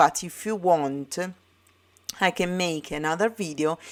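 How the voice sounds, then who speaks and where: A woman speaks with an Italian accent at a very deep, low pitch. She moves at a fairly slow pace. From Italy. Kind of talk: tutorial. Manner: halting, many fillers.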